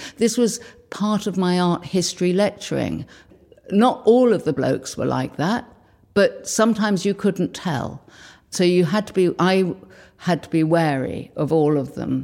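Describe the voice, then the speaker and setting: Over a silent background in a very clean recording, a woman with a dark, mellow tone and vocal fry speaks with lively intonation and big swings in loudness. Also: medium pitch for a woman, moderate pace. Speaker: slide library founder. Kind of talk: interview recollection.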